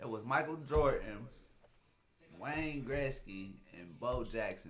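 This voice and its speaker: A man speaks with music in the background. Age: 30s. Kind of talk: casual chat.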